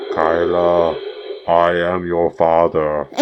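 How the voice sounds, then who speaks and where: A man puts on a character voice, pitched very deep and low. Clear background noise runs underneath. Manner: menacing.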